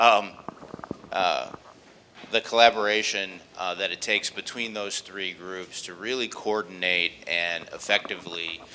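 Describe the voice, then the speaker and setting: Amid noticeable background noise, a man with a very deep, low pitch speaks fairly slowly with fairly even intonation and big swings in loudness. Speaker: bank executive speaking at conference. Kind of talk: conference presentation. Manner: halting, many fillers and repetitions.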